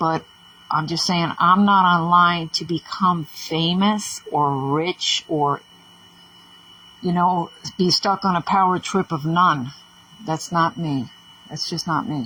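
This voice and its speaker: A woman's fairly low voice, very slow, with ordinary pitch variation and long, frequent pauses. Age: 60s. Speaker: social media vlogger. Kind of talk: casual monologue vlog. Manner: animated.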